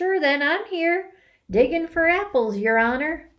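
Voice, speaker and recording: In a put-on character voice, a woman talks at a moderate pace, squeaky and extremely high-pitched, with very wide pitch swings. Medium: read story. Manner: deferential, folksy.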